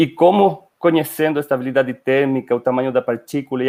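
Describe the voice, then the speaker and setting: This man has a Spanish accent and a fairly high pitch. He talks at a fairly quick pace with fairly even intonation. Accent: Spanish-accented Portuguese (portunhol). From Chile. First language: Spanish (speaking Portuguese). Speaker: company director, scientist. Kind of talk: webinar presentation. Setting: online webinar. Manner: hesitant, with fillers.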